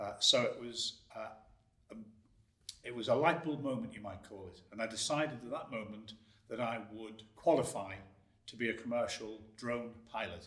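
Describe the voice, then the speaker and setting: Amid audible room echo, a man with a medium-pitched voice takes long, frequent pauses, his loudness swinging widely while his pitch varies in an ordinary way. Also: moderate pace. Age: 60s. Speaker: drone video business owner. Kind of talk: interview.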